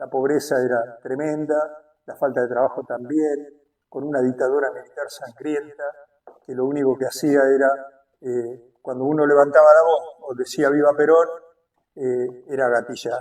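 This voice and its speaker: This man talks in a monotone with flat intonation. His voice is fairly high and jumps a lot in loudness. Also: moderate pace. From Argentina, Buenos Aires area (Berazategui). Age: 70s. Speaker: political activist. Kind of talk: interview testimony. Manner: hesitant, many fillers.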